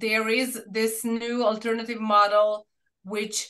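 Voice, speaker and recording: Speaking with a Serbian accent, a woman has a bright, sharp tone. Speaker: researcher presenting a study. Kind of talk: academic seminar Q&A discussion. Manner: halting, many fillers and restarts.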